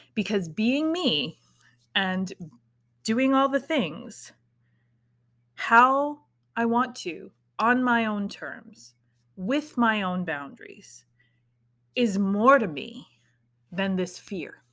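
In a very clean recording with a silent background, a woman with a bright, sharp tone and a fairly high pitch talks very slowly, swinging very widely in pitch and leaving long, frequent pauses. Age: 40s. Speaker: spiritual podcast host and tarot reader. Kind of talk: casual solo monologue. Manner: casual, with laughs and sighs.

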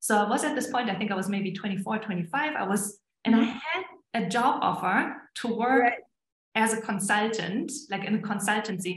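A woman's fairly high voice in a German accent, with ordinary pitch variation at a moderate pace. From southern Germany. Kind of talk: casual interview.

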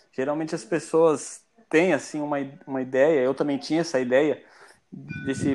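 Here a man has a normal speaking voice at a fairly high pitch. He speaks at a moderate pace with fairly even intonation. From Brazil, Mato Grosso do Sul (Ponta Porã, Paraguay border). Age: 30s. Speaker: software developer, English learner. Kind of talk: casual interview chat.

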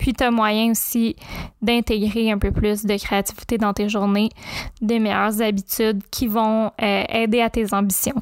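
A woman's fairly high voice in a Quebec accent, fairly slow and monotone with flat intonation, very even loudness, and a dry, close sound with no echo. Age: 20s. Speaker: podcast host and creativity coach. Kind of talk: podcast trailer monologue. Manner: casual, conversational.

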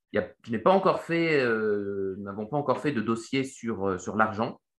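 A man with lively intonation. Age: 30s. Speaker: economist and investment newsletter founder. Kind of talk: Q&A explainer. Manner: hesitant, many fillers and repetitions.

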